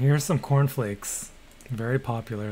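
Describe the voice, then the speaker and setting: A man speaks fairly slowly at a medium pitch with ordinary pitch variation. Noticeable background noise runs behind him. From Canada. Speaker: gaming streamer. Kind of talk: casual live-stream chat. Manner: mumbling at times.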